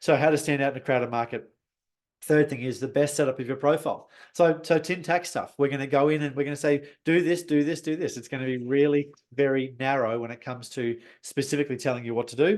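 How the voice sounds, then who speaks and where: The man's pitch is fairly high. He talks at a very fast pace. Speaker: business coach and webinar host. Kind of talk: webinar presentation. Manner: animated.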